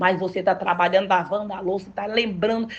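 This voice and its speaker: A woman speaks in an animated tone. Her voice is somewhat breathy. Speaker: pastor. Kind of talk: sermon.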